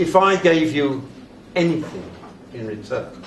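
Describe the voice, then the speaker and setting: A man with an RP accent and fairly high pitch, ordinary pitch variation, audible room echo and noticeable background noise. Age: 80s+. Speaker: retired classics teacher. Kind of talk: after-dinner speech. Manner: formal.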